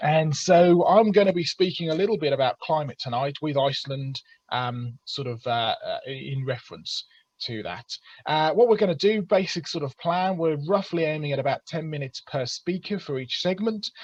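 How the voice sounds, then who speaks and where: A man with an English accent, fairly high pitch and lively intonation at a moderate pace, in a dry, close sound with no echo. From England. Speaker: creationist speaker. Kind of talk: webinar presentation. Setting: video call. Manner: hesitant with fillers.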